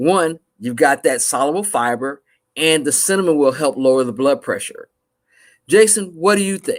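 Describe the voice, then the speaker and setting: Recorded very cleanly against a silent background, a man with an ordinary speaking voice and an American accent speaks at a moderate pace in a fairly high pitch with lively intonation. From US South, Mississippi. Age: 50s. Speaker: panelist on a health talk show. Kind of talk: panel discussion.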